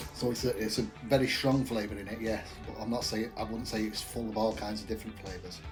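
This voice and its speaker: The speech comes at a very fast pace with fairly even intonation. Music plays in the background. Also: man, fairly low pitch for a man. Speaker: craft beer reviewer. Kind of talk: casual talk to camera.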